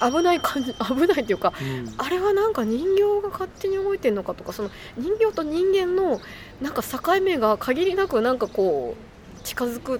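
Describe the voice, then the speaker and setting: A woman with an extremely high pitch and very wide pitch swings, at a moderate pace, over noticeable background noise. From Japan, Shiga Prefecture. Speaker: podcast co-host. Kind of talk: casual chat. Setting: outdoors.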